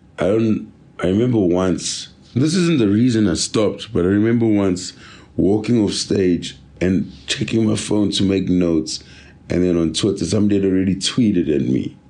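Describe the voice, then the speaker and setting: A man talks at a fairly low pitch and a moderate pace. His tone is dark and mellow, with very even loudness. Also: ordinary pitch variation. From South Africa, Durban. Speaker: comedian. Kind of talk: casual chat. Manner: laid-back.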